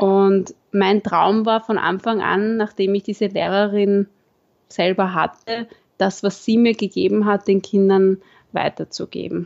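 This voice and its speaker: A woman's medium-pitched voice, fairly slow and in a monotone, flat intonation. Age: 20s. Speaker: primary school teacher. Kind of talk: interview. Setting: video call.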